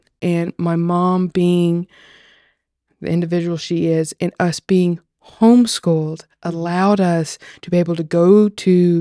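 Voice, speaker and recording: In a Tennessee accent, a woman talks at a fairly low pitch, the sound dry and close with no echo against a quiet background. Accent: Southern US (Tennessee). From Tennessee, US South. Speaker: agriculturalist, farm lover. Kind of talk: casual chat, personal testimony. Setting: podcast table conversation.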